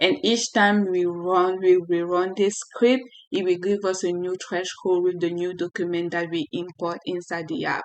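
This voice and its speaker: A woman's medium-pitched voice, with ordinary pitch variation, keeps a moderate pace and barely pauses. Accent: French. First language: French. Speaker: software developer tutorial creator. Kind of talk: tutorial. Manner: halting.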